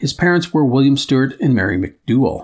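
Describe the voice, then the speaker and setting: A man talks at a fairly quick pace with a Midwestern accent. Vocal fry runs through his voice. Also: very clean recording, silent background. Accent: Midwest American. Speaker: history podcast host. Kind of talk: scripted narration.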